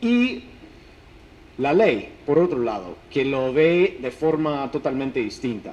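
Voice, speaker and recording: In an English accent, a man with a fairly high pitch talks at a very slow pace with lively intonation. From United States. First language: English (speaking Spanish). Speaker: academic researcher. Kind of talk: lecture. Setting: conference talk. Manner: halting, with false starts.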